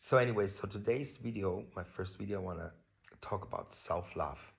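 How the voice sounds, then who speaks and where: A man speaks with a German accent. His voice is somewhat breathy. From Germany. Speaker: vlogger. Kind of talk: personal vlog talk on self-love. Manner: casual, many fillers.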